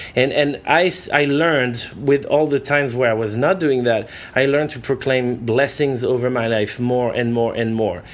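A man with a French accent at medium pitch, moderate pace and ordinary pitch variation. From France, southwest near Bordeaux. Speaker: evangelist. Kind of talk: casual interview. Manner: halting with fillers.

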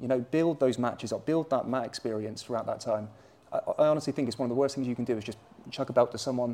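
A man's dark, mellow voice at medium pitch, very fast in pace, with fairly even intonation. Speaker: jiu-jitsu coach and gym owner. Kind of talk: casual interview chat. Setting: recorded at a jiu-jitsu gym.

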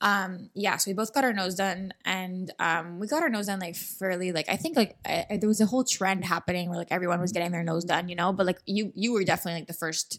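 A woman talks at a very fast pace with hardly any pauses. Her pitch varies in an ordinary way, and the recording is very clean against a silent background. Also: medium pitch for a woman. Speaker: podcast host. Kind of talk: casual chat. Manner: fast talker.

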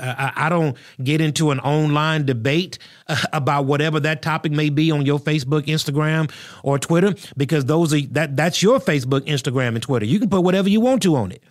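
Speaking with a fairly high pitch at a moderate pace, this man has a plain, everyday voice. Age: 40s. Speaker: pastor and podcast host. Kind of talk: solo podcast commentary. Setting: studio.

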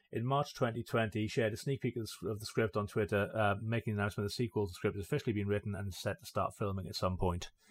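A man talks at a very fast pace with hardly any pauses, in a fairly low, somewhat breathy voice. His pitch variation is ordinary, and the recording is very clean with a silent background. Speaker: podcast co-host. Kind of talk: casual chat.

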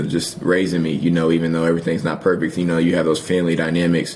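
A man's very deep, low voice comes across in a monotone, flat intonation. There is noticeable background noise and audible room echo. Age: 20s. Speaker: college football player. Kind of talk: interview. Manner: halting.

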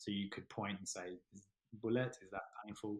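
A man talks fairly low in pitch with an Australian accent. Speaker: paramedic and army veteran. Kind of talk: interview. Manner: hesitant, many fillers and repeats.

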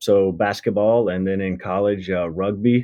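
This man has a fairly low pitch and fairly even intonation. He speaks with a slight Southern US accent. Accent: slight Southern US drawl. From Mississippi, US South. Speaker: endurance coach, former military pilot. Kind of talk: casual interview conversation.

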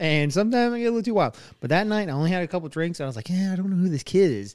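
A man with a high-pitched voice speaks at a very fast pace. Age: 30s. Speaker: podcast host. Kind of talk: casual chat.

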